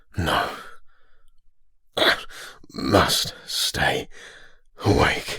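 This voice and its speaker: A raspy, put-on character voice carries the clip. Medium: read story.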